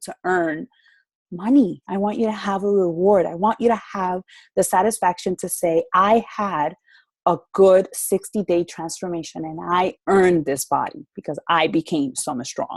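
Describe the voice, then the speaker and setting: A plain, everyday voice with lively intonation at a moderate pace, in a dry, close sound with no echo. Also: woman. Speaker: fitness coach. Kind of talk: virtual group call. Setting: video call.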